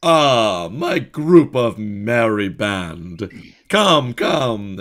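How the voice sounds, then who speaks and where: A man puts on a character voice at a medium pitch. He talks very slowly, and his pitch swings very widely. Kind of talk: grandiose public oration. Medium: actual play. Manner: showy, overly hearty.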